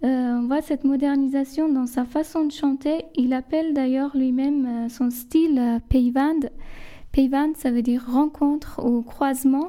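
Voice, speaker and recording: Through noticeable background noise, a woman speaks very slowly in a high pitch at a very even loudness. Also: fairly even intonation. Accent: Persian. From southern Iran, Lar. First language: Persian (speaking French). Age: 30s. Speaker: guest. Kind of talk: casual chat.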